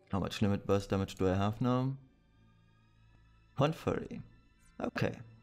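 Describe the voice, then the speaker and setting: Music plays behind a man with a fairly low pitch. He speaks at a moderate pace, with long, frequent pauses. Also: ordinary pitch variation. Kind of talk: game guide commentary.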